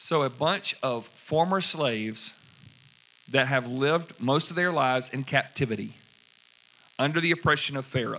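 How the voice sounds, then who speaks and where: This is a man with a fairly high-pitched voice. His pitch rises and falls in an ordinary way. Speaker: pastor. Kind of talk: sermon. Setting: church. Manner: fast.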